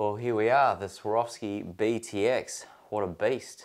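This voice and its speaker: A man speaks in an ordinary speaking voice against a quiet background. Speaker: product reviewer. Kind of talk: casual product review. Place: home room.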